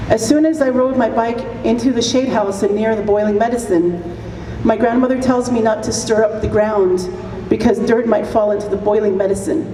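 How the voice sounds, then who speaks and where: The voice shows ordinary pitch variation, while audible room echo and noticeable background noise fill the recording. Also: woman. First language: Apache. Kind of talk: commencement speech.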